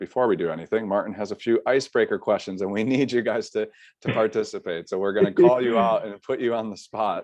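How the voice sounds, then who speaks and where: Here a man speaks with an American accent. His pace is very fast. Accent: American, stands out locally. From US Midwest, Chicago. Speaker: study abroad internship coordinator. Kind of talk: webinar presentation. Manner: casual, many filler uhs.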